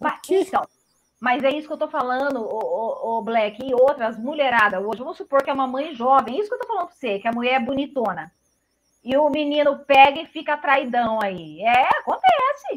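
A woman with a high pitch speaks with big swings in loudness. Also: lively intonation, moderate pace. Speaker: tarot reader. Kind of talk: casual chat. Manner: animated.

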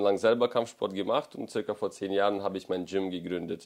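A man is speaking. His pitch sits fairly low. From Ukraine. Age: 30s. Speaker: combat sports event promoter. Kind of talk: casual interview. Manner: direct.

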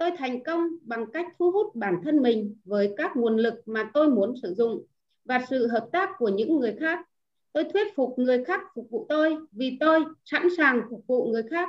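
A woman's high voice at a fairly slow pace, with very wide pitch swings. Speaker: club member reading aloud. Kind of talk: reading aloud in group. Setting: online video call.

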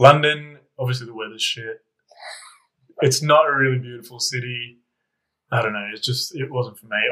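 At a moderate pace, a man talks with medium pitch, a bright, sharp tone and fairly even intonation, leaving long, frequent pauses. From Canberra, Australia. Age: 30s. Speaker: podcast guest. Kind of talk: casual chat.

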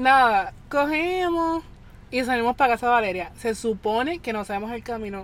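Lively intonation marks this woman's high voice at a moderate pace. The recording is very clean, with a silent background. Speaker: guest, friend of hosts. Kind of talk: casual storytelling.

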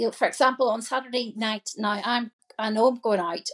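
A woman with a plain, everyday voice and a fairly high pitch is heard in a dry, close sound with no echo. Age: 50s. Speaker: coaching client. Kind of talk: casual chat.

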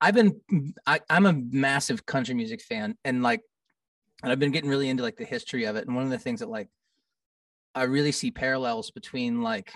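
A man with an American accent talks at a fairly high pitch with very wide pitch swings, in a dry, close sound with no echo against a quiet background. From Kansas City, US Midwest. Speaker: rock musician. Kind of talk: casual chat.

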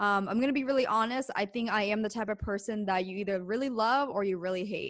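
Speaking in an ordinary speaking voice, a woman keeps to a medium pitch with ordinary pitch variation over a quiet background. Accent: American. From US East Coast, Pennsylvania. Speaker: business owner and podcast host. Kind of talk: interview.

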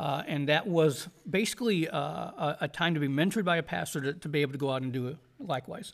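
A man's fairly high voice with vocal fry and an American accent, very fast, with hardly any pauses. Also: ordinary pitch variation. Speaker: podcast host and Bible college teacher. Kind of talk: interview. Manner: halting, many fillers.

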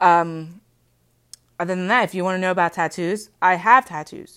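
Against a silent background in a very clean recording, a woman speaks at a moderate pace in a medium pitch, her tone bright, sharp and nervous. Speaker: podcast host. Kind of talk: casual solo podcast monologue. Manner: nervous, sometimes halting; informal, chatty.

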